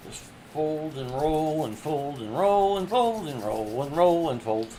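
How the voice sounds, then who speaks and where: A man with a dark, mellow tone and a fairly high pitch speaks at a fairly slow pace, with very wide pitch swings. His loudness swings widely, and there is audible room echo. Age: 60s. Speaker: artist livestreamer. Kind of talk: casual crafting demo.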